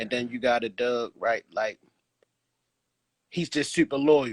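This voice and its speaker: A man with a medium-pitched voice and a Baltimore accent. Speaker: dog breeder and live show host. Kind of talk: casual chat. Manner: stammering, repeats words.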